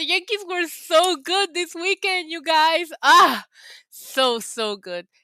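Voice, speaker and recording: A woman speaks at a fairly slow pace in an extremely high, raised and projected voice, animated and bright with a sharp edge, the sound dry and close with no echo. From Puerto Rico. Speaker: wrestling YouTuber. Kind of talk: casual livestream chat.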